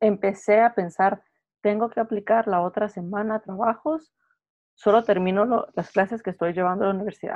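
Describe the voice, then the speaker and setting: A woman's plain, everyday voice at a medium pitch, with fairly even intonation and a moderate pace. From Guatemala. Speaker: podcast co-host. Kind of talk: casual chat.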